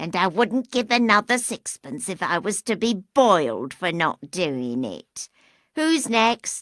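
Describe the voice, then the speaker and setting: A woman puts on a character voice at medium pitch with very wide pitch swings. She delivers it at a fairly slow pace. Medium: read story.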